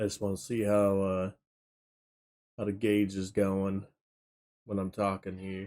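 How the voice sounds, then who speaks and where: In a dark, mellow tone, a man speaks at a fairly slow pace with flat, monotone intonation and long, frequent pauses. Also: fairly low pitch for a man. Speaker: gaming streamer. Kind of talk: live game stream chat. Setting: home streaming setup with green screen. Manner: loud; casual.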